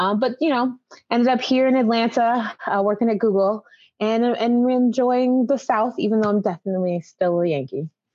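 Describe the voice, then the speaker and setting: A woman's normal speaking voice, fairly high in pitch, with an American accent, a moderate pace and very even loudness. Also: ordinary pitch variation. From western Massachusetts, US. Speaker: cosplayer and IT professional. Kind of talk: casual chat.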